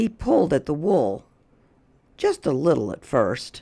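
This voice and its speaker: The speaker uses a raspy, put-on character voice at a fairly slow pace. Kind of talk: bedtime story. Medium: read story. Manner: clear, gentle, paced read-aloud.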